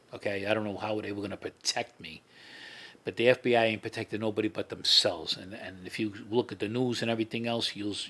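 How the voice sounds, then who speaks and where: This man talks at a very fast pace in a New York accent, his pitch fairly low. His tone is bright and sharp, and his intonation stays monotone and flat. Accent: heavy New York. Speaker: former mob associate and FBI informant. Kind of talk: interview. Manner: repetitive, informal.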